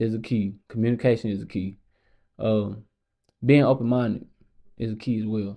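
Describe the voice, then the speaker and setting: At medium pitch and a moderate pace, a man speaks in a dark, mellow tone with monotone, flat intonation and long, frequent pauses. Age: 20s. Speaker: podcast host. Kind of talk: casual chat.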